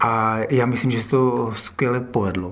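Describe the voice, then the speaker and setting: A man's voice carries audible echo from the room. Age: 40s. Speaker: acrobat and circus company director. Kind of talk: interview.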